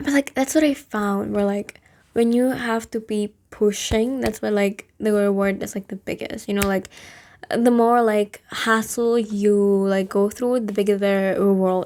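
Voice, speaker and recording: With a non-native accent, a woman talks at a moderate pace in a medium pitch, her intonation fairly even. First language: not English. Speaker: vlogger. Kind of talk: casual monologue. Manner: hesitant, many fillers.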